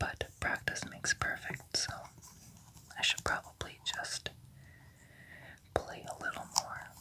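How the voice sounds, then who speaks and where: Someone whispers at a fairly slow pace with long, frequent pauses. Noticeable background noise is present. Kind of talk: ASMR whisper video; casual talk to camera about video games. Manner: whispered.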